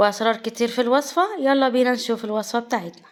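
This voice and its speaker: A woman speaks with an Egyptian accent. Her voice is high-pitched. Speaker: cooking channel host. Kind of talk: cooking tutorial.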